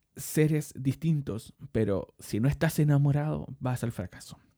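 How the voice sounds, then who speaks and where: In a Chilean accent, a man talks at a very slow pace with a dark, mellow tone and lively intonation. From Chile, Santiago (Maipú). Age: 30s. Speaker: podcast host. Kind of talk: monologue podcast. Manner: hesitant, many fillers and repetitions.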